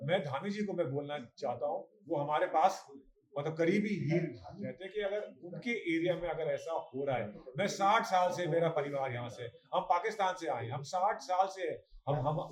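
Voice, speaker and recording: Someone speaks at a moderate pace with ordinary pitch variation, and noticeable background noise is present. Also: man, high pitch for a man. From Uttarakhand, Khatima area. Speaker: farmer. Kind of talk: news interview statement.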